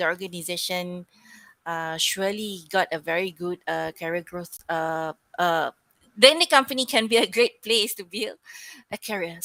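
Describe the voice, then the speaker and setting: A woman's put-on character voice, mumbling at a moderate pace with medium pitch and big swings in loudness, in a dry, close sound with no echo. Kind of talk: filler-laden, uh. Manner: mumbling, hesitant.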